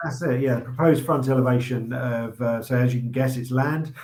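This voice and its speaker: Medium-pitched and somewhat breathy male speech in a monotone, flat intonation. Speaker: auctioneer presenting property lots. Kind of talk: casual banter while presenting live online auction lots.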